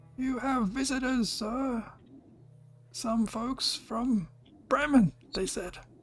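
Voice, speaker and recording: A put-on character voice comes through at a fairly high pitch and a very slow pace. Long pauses break up the speech frequently. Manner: timid, deferential.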